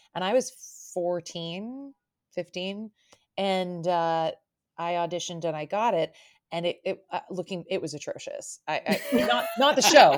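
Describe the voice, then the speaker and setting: In a very clean recording with a silent background, a woman with an unremarkable speaking voice and medium pitch talks at a fairly slow pace with lively intonation. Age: 30s. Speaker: podcast host and actor. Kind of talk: casual chat.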